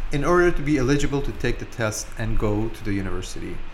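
Against noticeable background noise, a man talks at a fairly quick pace with very wide pitch swings. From Dubai, UAE (Iranian-born). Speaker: lawyer. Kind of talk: interview. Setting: office.

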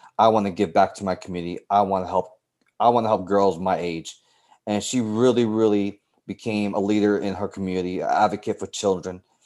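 At a fairly quick pace, a man talks in a fairly low pitch with monotone, flat intonation, in a very clean recording with a silent background. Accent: American. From New York City, South Bronx. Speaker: teacher and softball coach. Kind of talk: interview conversation.

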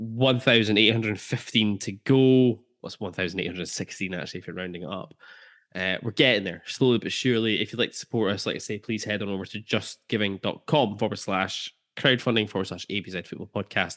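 A man speaks in an Aberdeen accent at a moderate pace with ordinary pitch variation. His tone is relaxed, and the background is quiet. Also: fairly low pitch for a man. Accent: Scottish, Aberdeen area. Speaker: podcast host. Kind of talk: casual football podcast chat. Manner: jokey, relaxed.

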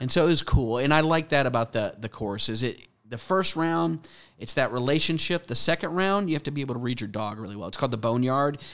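A man with an American accent, very fast, medium-pitched and lively in intonation, on a very clean recording with a silent background. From US South (Mandeville, Louisiana, near New Orleans). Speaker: police K9 sergeant, former Marine and pastor. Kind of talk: interview conversation.

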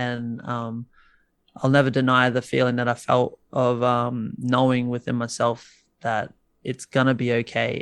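Over a quiet background, a man with an Australian accent talks at a moderate pace. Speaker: musician guest. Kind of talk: casual chat. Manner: casual, filler-heavy.

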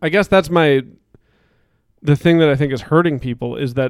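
A man with a fairly high pitch speaks at a fairly quick pace. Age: 30s. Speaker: podcast host. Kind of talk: casual chat. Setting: basement, recording with live stream.

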